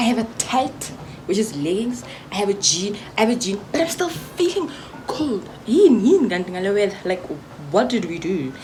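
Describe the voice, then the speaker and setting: At a moderate pace, the voice swings very widely in pitch over noticeable background noise and audible room echo. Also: woman, fairly high pitch for a woman. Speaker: vlogger. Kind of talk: casual vlog chat. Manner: whispering.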